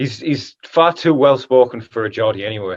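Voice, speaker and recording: The background is quiet as a man speaks with a Northern English accent. His pitch is medium and varies in an ordinary way. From northern England. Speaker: pro MMA fighter. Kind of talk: casual interview.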